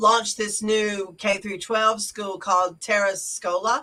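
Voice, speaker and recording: This voice has a bright, sharp tone and a Southern US accent, moving at a fairly slow pace. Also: woman. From US South. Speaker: witchcraft podcast co-host. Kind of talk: casual chat.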